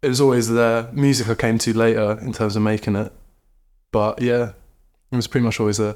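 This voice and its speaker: A man of medium pitch in a southern English accent, fairly quick yet with long, frequent pauses, monotone and flat, in a very clean recording with a silent background. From southern England, Brighton. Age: 20s. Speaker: artist and musician. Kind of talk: casual chat. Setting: in-person studio interview.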